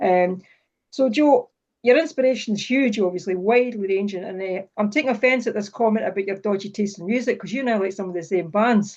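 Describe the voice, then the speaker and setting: Woman with a Scottish accent at medium pitch, fairly quick pace and ordinary pitch variation, quiet background. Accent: Falkirk Scottish. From Scotland, Falkirk. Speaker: writer and event host. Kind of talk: casual interview chat. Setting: video call.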